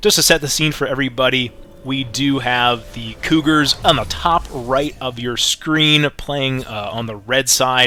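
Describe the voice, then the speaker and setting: Against noticeable background noise, a man speaks at a moderate pace in a medium pitch with ordinary pitch variation. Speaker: esports caster. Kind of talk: live commentary. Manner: stutters at times.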